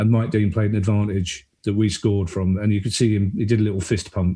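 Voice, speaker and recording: Here a man speaks very fast in a fairly low voice. He sounds somewhat breathy. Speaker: stand-up comedian and writer. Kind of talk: podcast guest conversation. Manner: casual, animated.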